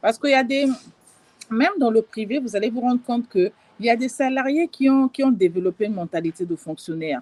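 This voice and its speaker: Very fast, lively-intoned woman's voice at a fairly high pitch. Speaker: life and business coach. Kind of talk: live stream talk. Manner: hesitant, many fillers.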